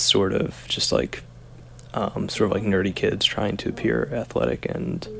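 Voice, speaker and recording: With an American accent, a man talks at a moderate pace in a normal speaking voice, pitched fairly low. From New Jersey. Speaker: founder of an online book publisher. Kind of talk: casual chat.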